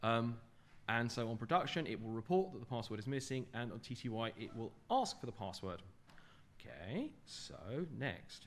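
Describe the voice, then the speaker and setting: There is audible room echo around a man talking in a medium pitch. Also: ordinary pitch variation. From England, London. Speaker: software developer giving a conference talk. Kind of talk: technical conference talk. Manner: fast.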